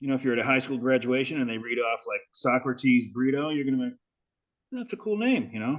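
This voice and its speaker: Talking very fast, a man with an American accent has a medium pitch. His pitch variation is ordinary. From California. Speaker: podcast host. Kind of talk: casual chat.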